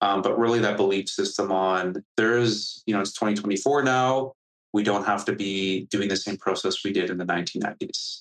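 In a Canadian accent, a man speaks at a moderate pace with an unremarkable speaking voice, a fairly low pitch and fairly even intonation. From Canada. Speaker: startup founder and CEO. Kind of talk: interview. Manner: casual, filler-heavy.

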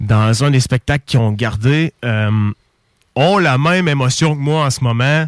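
A dry, close sound with no echo, plus ordinary pitch variation. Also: man. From Quebec, Bellechasse region. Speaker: radio host. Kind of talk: casual radio chat. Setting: radio studio. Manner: animated.

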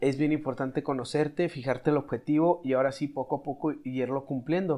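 At a moderate pace, a man talks with fairly even intonation in a plain, everyday voice. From Mexico, Chihuahua. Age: 20s. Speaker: doctor in medical specialty training. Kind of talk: casual chat.

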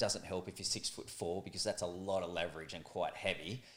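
The speaker is a man. He has an Australian accent. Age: 40s. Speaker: calisthenics athlete and motivational speaker. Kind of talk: casual chat interview.

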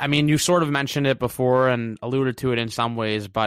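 Recorded very cleanly against a silent background, a man talks at a fairly quick pace in a dry, close sound with no echo. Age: 20s. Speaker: podcast host. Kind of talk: casual interview. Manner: animated.

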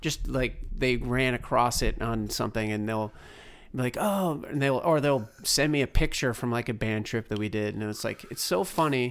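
An unremarkable speaking voice holds a moderate pace and shows ordinary pitch variation. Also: man, medium pitch for a man. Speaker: podcast host. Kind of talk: interview.

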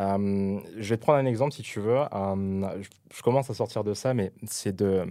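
A man's fairly low, dark, mellow voice with ordinary pitch variation, on a very clean recording with a silent background. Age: 20s. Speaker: podcast guest, regular listener. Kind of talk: casual chat. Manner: halting.

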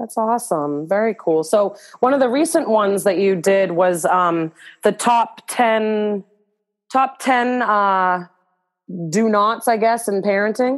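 A woman speaks at a fairly slow pace with very even loudness. Her pitch is medium, with ordinary variation. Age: 30s. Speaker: podcast host and parenting coach. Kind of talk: scripted outro; casual interview. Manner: halting, repeats words.

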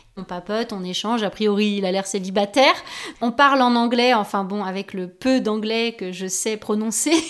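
This woman's fairly high voice moves with ordinary pitch variation. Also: moderate pace. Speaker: YouTuber. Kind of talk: personal testimony. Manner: hesitant with fillers.

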